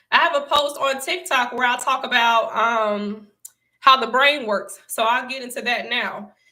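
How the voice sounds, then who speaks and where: Audible room echo surrounds a woman with an American accent as she talks at a fairly slow pace in a high voice with a bright, sharp tone. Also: ordinary pitch variation. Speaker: online motivational speaker. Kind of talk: livestream talk.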